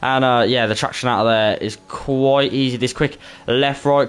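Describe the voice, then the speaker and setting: With a Birmingham accent, a man talks at a moderate pace using fairly even intonation. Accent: Brummie, Birmingham English. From Birmingham, England. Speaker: esports racing commentator and streamer. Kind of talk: casual chat with stream viewers; live commentary. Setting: live stream. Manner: casual, filler-heavy.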